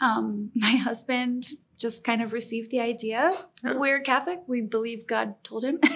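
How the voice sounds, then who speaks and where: In an ordinary speaking voice, a woman talks at a moderate pace, her fairly high pitch showing ordinary pitch variation. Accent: American. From Colorado. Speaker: small business owner. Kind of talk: interview.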